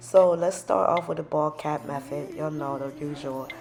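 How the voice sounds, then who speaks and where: This woman speaks with a Liberian accent. Noticeable background noise runs behind her. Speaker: beauty vlogger. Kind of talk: casual tutorial vlog. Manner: animated.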